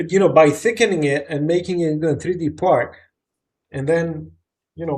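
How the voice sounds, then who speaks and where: This man has a plain, everyday voice, pitched fairly high and carried with fairly even intonation. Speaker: CAD software support host. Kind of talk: live Q&A tech support stream.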